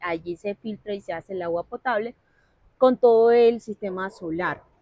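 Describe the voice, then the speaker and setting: A woman with a La Guajira accent at a fairly slow pace, ordinary pitch variation, dry and close sound with no echo. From La Guajira, Colombia (Wayuu territory). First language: Wayuunaiki (speaking Spanish). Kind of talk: interview conversation.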